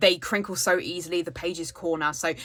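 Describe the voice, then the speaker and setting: A woman with a British accent talks at a fairly quick pace. Her tone is bright and sharp. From United Kingdom. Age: 30s. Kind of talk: casual talk to camera. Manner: chatty.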